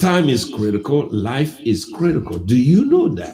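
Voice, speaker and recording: Audible room echo surrounds a man speaking at a very slow pace. His voice is somewhat breathy, with lively intonation. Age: 50s. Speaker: pastor. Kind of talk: sermon.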